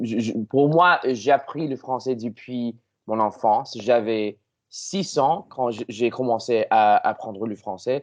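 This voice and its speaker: A man with an English accent at a medium pitch, very slow in pace, with ordinary pitch variation. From Canada. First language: English (speaking French). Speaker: language learner. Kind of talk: casual chat. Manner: halting.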